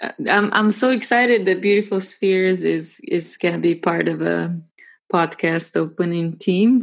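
A woman's medium-pitched voice at a fairly slow pace, with ordinary pitch variation. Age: 30s. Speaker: music composer. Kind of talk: interview. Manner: halting, frequent repetitions.

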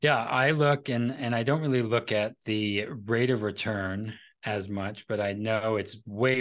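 This man has an unremarkable speaking voice, fairly low in pitch with fairly even intonation. He talks at a fairly slow pace over a quiet background. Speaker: financial advisor and podcaster; entrepreneur. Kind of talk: casual interview chat.

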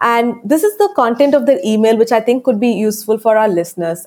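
Fairly quick speech in an Indian accent, with ordinary pitch variation. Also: woman. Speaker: book publisher and author coach. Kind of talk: interview. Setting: remote call.

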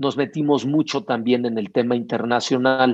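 Over a quiet background, a man with a plain, everyday voice speaks at a medium pitch and a moderate pace. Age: 50s. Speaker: sports event entrepreneur. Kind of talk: interview.

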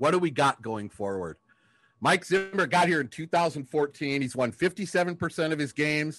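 This is an unremarkable speaking voice at a fairly slow pace. Its intonation is lively. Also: man, fairly high pitch for a man. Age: 50s. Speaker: sports podcast co-host. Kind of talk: casual chat.

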